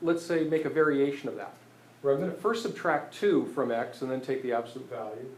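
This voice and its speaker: Audible room echo surrounds a man who speaks at a fairly quick pace with a fairly high pitch and lively intonation. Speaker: math teacher. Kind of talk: lecture. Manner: halting, many fillers.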